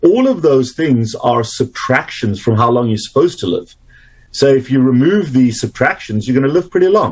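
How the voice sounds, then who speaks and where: A man with a South African accent speaks at a moderate pace in a somewhat breathy, medium-pitched voice with lively intonation. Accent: South African, retained. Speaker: doctor, obesity and metabolic health specialist. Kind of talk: interview.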